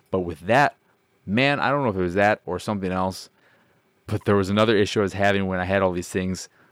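A man speaks in a fairly low voice. He talks very fast, with ordinary pitch variation. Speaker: podcast host, video game podcaster. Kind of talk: casual solo podcast monologue. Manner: rambling, self-correcting, jokey.

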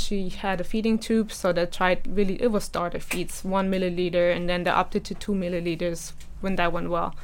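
Fairly quick pace with a German accent. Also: woman. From Germany. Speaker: mother sharing personal story. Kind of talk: interview testimony.

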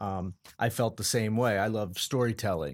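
A man with an American accent has a plain, everyday voice at a fairly low pitch and a moderate pace. The recording is very clean, with a silent background. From Colorado. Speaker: sales executive. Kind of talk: casual interview.

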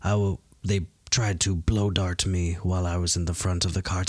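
In a very deep, low pitch, a man speaks at a moderate pace, somewhat breathy, with a monotone, flat intonation. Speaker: player in the tabletop RPG. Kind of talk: casual tabletop roleplaying game chat. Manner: casual, joking, laughs often.

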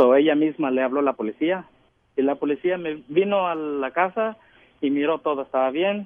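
In an ordinary speaking voice, a man talks at a fairly quick pace, his pitch fairly high with ordinary pitch variation. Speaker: caller. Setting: phone call.

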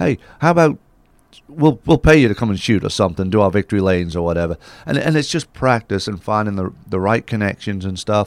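A man with a fairly low pitch talks at a very fast pace with lively intonation. The sound is dry and close, with no echo. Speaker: racing photographer, head of photo agency.

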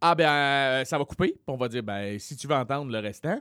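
On a very clean recording with a silent background, a man talks at a moderate pace in a fairly high pitch. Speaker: comedian and podcast host. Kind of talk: casual chat; storytelling.

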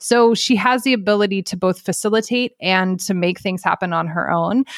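A woman's unremarkable speaking voice, fairly even in intonation and moderate in pace, on a very clean recording with a silent background. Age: 40s. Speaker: sports journalist. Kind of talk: casual chat.

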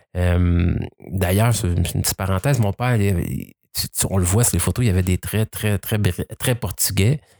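Recorded very cleanly against a silent background, the voice comes through dry and close with no echo, at a moderate pace and with ordinary pitch variation. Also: man. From Quebec. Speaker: adoptee telling his story. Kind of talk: casual interview. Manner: halting, repeats words.

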